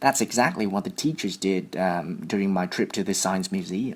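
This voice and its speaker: The speech has a Vietnamese accent. It moves at a moderate pace. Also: man. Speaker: IELTS test candidate. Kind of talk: mock speaking exam interview. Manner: hesitant, with fillers and repetitions.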